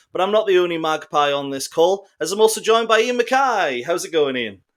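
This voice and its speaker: A man with a high pitch, very wide pitch swings and a fairly quick pace. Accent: Geordie. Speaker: football podcast host. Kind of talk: casual podcast discussion. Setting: online call.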